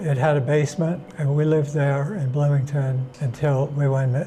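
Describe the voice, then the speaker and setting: Against noticeable background noise, a man with a fairly high voice speaks at a moderate pace in a flat monotone, his loudness very even. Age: 80s+. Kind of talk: interview answer. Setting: interview location. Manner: soft-spoken, calm.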